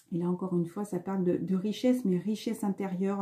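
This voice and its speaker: Her voice is somewhat breathy, with a dark, mellow tone at a medium pitch. The woman speaks at a fairly quick pace with fairly even intonation. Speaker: spiritual card reader. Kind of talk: spiritual card reading monologue. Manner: fast; hesitant, many fillers.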